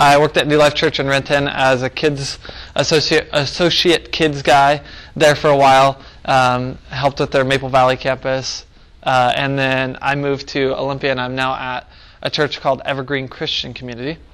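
At a moderate pace, a man speaks with a monotone, flat intonation. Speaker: family pastor teaching a workshop. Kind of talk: workshop talk. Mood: relaxed, self-deprecating. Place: church.

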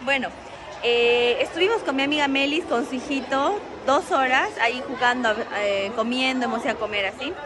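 Crowd noise fills the background as a woman speaks at a high pitch. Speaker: family vlogger. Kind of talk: casual vlog chat. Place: shop. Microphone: phone near.

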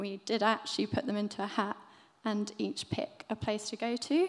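The woman's delivery keeps to a moderate pace. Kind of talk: presentation talk. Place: hall. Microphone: podium.

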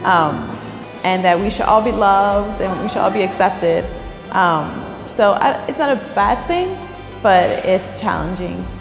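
Woman at a moderate pace with clear music in the background. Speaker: interviewee. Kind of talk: interview answer. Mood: warm, reflective. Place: office.

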